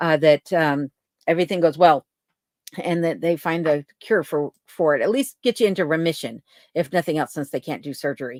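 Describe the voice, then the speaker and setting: On a very clean recording with a silent background and a dry, close sound with no echo, a woman with an American accent speaks at a moderate pace in a plain, everyday voice, with fairly low pitch and ordinary pitch variation. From Colorado. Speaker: livestream host, cabin dweller. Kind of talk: casual livestream chat reading viewer comments. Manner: conversational with fillers.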